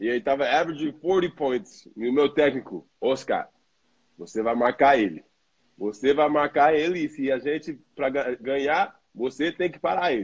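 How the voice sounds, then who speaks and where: His pitch sits fairly high with ordinary variation. The man talks at a fairly slow speed. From New York, US, Brazilian family. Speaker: professional basketball player. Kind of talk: casual chat. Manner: halting.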